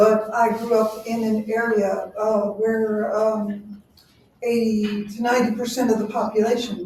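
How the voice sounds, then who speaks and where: Her voice fairly high and her intonation monotone and flat, a woman with an American accent speaks at a fairly slow pace in a room with audible echo. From South Texas. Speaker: forum moderator. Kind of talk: candidate forum debate.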